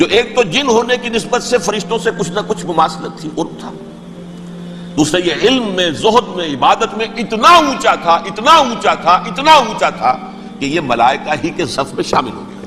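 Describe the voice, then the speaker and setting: A man with a high voice speaks in a raised, projected way, his pitch swinging very widely. Background noise is noticeable. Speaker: Islamic scholar giving a religious lecture. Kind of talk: Islamic sermon (bayan). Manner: emotional, earnest, explanatory.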